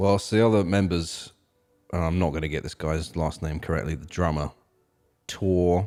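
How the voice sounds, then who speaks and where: A man speaks at a moderate pace in a very deep, low voice with a dark, mellow tone and fairly even intonation, leaving long, frequent pauses, on a very clean recording with a silent background. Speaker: music podcast host and musician. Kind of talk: casual chat.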